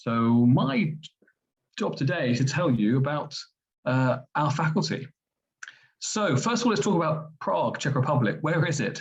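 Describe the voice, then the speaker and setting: Speaking in a London accent at a moderate pace, a man with a fairly high, somewhat breathy voice keeps his loudness very even and his intonation lively, with long, frequent pauses. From England, London. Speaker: medical school vice dean. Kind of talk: presentation. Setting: webinar.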